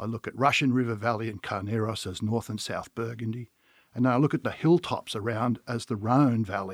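With an Australian accent, a man talks fairly quickly at a medium pitch and fairly even intonation. The sound is dry and close with no echo, on a very clean recording with a silent background. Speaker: winery owner. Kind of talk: casual chat.

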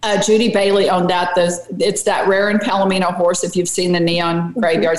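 A woman speaks at a medium pitch. Background noise is noticeable throughout. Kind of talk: casual interview chat, storytelling. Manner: chatty, upbeat.

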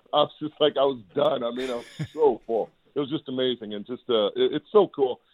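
In a plain, everyday voice, a man talks at a fairly quick pace with a medium pitch and ordinary pitch variation. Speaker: football analyst. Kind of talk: casual sports chat. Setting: phone call.

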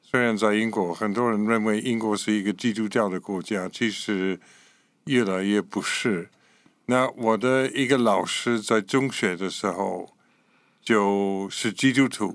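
Fairly slow, fairly low male speech with an English accent and fairly even intonation, on a very clean recording with a silent background. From Scotland. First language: English (speaking Chinese). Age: 80s+. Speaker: pastor and missionary. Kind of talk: interview testimony.

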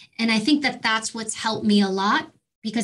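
An unremarkable speaking voice from a woman with an American accent, fairly high in pitch and at a moderate pace. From New York City. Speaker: former police officer and Secret Service agent. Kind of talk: interview.

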